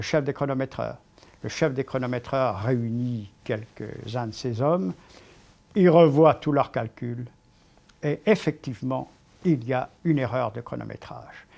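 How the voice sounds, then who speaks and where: A man speaks at medium pitch with ordinary pitch variation. His pace is fairly slow, with long, frequent pauses. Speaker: sports commentator, cycling. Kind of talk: storytelling, historical anecdote narration.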